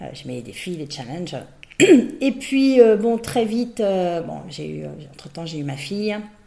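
Speaking very slowly, a woman with a medium pitch makes very wide pitch swings and big jumps in loudness, with audible room echo and noticeable background noise. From Brittany, France. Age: 50s. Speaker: business owner and executive coach. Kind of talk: interview.

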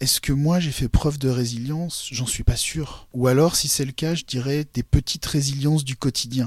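The delivery is somewhat breathy, with fairly even intonation. Hardly any pauses break it up. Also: man, fairly high pitch for a man, moderate pace. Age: 40s. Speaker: blind consultant and coach. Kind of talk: interview testimony.

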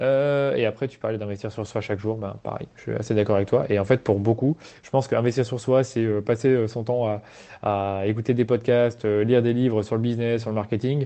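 A man's medium-pitched, monotone, flat delivery at a fairly quick pace, with big swings in loudness. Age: 20s. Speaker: agency founder. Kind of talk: casual chat. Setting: outdoors. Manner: halting.

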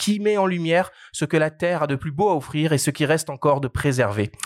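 In a plain, everyday voice, a man talks at a fairly quick pace with lively intonation and fairly high pitch. The sound is dry and close with no echo, a very clean recording with a silent background. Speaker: podcast host. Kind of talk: podcast interview.

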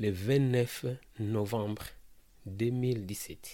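A man talks at a medium pitch. His tone is dark and mellow. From DR Congo, Kinshasa. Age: 30s. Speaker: refugee and maintenance technician. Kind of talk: personal testimony. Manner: halting, repetitive.

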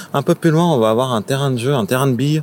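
A man's voice, pitched at a medium level and varying in pitch in an ordinary way, comes through with clearly audible background noise. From Paris, France. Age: 30s. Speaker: local guide on a city walk. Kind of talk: casual guided walk commentary.

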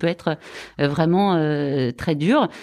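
A woman with a normal speaking voice, fairly low in pitch with ordinary pitch variation, at a moderate pace, in a very clean recording with a silent background. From France, Lyon region. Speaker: hospital foundation fundraising director. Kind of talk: interview.

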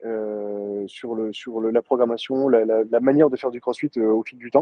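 A man is talking. He keeps a moderate pace. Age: 30s. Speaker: CrossFit gym owner. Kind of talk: interview. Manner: halting, many fillers.

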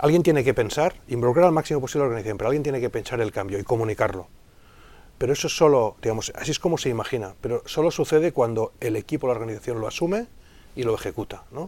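The voice has a dark, mellow tone and lively intonation at a very fast pace. The recording is very clean with a silent background. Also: man, medium pitch for a man. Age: 40s. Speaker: digital consultant and business school lecturer. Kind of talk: interview. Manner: hesitant, with many fillers and repetitions.

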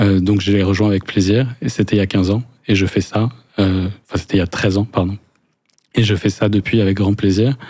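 A man's fairly low voice with a dark, mellow tone, flat monotone intonation, very even loudness and a moderate pace. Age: 40s. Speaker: business lawyer. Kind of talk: interview. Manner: halting, many repetitions.

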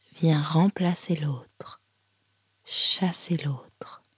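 Somewhat breathy and calm, a woman speaks in a soothing tone at a fairly low pitch. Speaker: yoga teacher. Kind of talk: guided meditation (yoga nidra), spoken image cues. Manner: slow, soft, calm, with pauses and repeated phrases; soothing, gentle, hypnotic.

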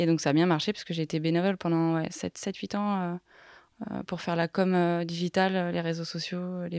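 A woman's fairly low voice, flat and monotone, at a fairly slow pace, with a dry, close sound and no echo. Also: very clean recording, silent background. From Haute-Savoie, French Alps. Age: young. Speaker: business consultant. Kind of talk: interview.

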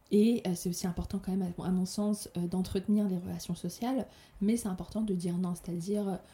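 Somewhat breathy, a woman speaks at a fairly quick pace and medium pitch, with a dark, mellow tone and fairly even intonation. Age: 30s. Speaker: podcaster. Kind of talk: personal monologue.

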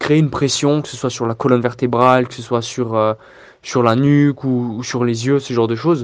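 A man speaks at a moderate pace in a medium pitch. He has an ordinary speaking voice. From Alsace, France (Strasbourg). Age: 20s. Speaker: videographer. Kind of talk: recorded testimony with advice.

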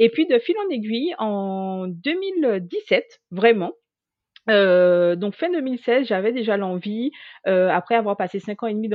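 A woman's medium-pitched voice at a very slow pace. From Guadeloupe. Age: 30s. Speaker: HR manager and LinkedIn coach. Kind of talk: interview. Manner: hesitant, many fillers.

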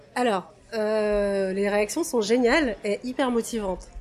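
A woman's fairly high-pitched voice, an ordinary speaking voice. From Russia. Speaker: toy photographer. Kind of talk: casual interview.

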